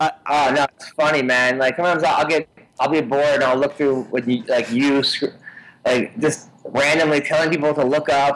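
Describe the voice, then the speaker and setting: At a moderate pace, an ordinary speaking voice keeps its intonation fairly even. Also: man, fairly high pitch for a man. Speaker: comedian. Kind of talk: casual interview chat.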